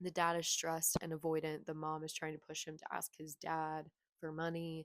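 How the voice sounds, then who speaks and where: Soft-spoken and monotone, a woman with a very deep, low pitch speaks at a moderate pace with flat intonation, in a dry, close sound with no echo. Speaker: booktuber. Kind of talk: casual vlog chat. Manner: casual, filler-heavy. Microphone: cheap clip mic that pops when she moves.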